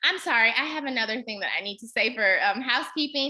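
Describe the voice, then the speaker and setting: A woman with an American accent uses a raised, projected voice with a bright, sharp tone. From Kansas, Wichita. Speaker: fundraising trainer. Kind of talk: webinar presentation.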